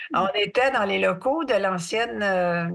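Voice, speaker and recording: A woman with a Quebec accent, medium-pitched, lively intonation and vocal fry. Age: 70s. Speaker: artist and mental health advocate. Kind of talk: podcast interview.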